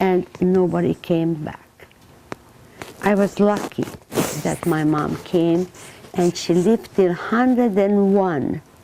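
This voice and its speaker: Noticeable background noise sits behind a woman of medium pitch with ordinary pitch variation. She talks at a very slow pace with long, frequent pauses. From Transylvania, Romania. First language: Hungarian. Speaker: Holocaust survivor speaker. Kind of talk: testimony talk to students. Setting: classroom with students. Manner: halting, with fillers.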